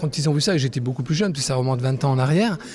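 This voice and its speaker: A man talks, and noticeable background noise can be heard throughout. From Corsica, Bastia. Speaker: photographer. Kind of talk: interview. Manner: halting.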